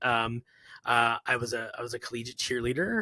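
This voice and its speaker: A man speaks loudly in an animated tone. His voice sounds bright and sharp. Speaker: coding instructor. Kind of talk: casual interview.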